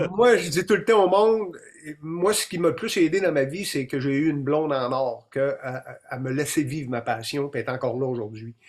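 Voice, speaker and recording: With a Quebec accent, a man talks at a fairly quick pace in a fairly high pitch with lively intonation. Noticeable background noise is present. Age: 50s. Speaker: deer hunting expert and documentary maker. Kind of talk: interview on a live stream. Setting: live stream.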